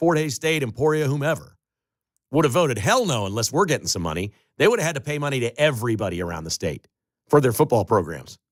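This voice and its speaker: Very wide pitch swings and vocal fry mark this very fast delivery in an American accent. The recording is very clean and the background silent. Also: man. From Chicago. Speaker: talk radio host. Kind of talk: talk radio monologue. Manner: animated.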